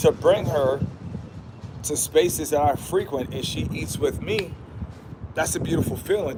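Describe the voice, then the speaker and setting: A man speaks in an animated tone at a moderate pace, his pitch fairly high, with noticeable background noise. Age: 30s. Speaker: YouTube livestreamer. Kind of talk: casual livestream monologue.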